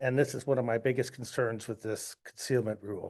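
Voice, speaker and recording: A man with an unremarkable speaking voice, medium pitch and fairly even intonation, against a quiet background. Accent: American. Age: 60s. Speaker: duck hunter giving public comment. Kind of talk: public comment at board meeting.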